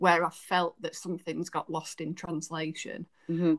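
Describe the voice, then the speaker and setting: A woman's fairly low voice in a Yorkshire accent, monotone and flat, with a dry, close sound and no echo. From Yorkshire, England. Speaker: podcast co-host, book reviewer. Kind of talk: casual chat.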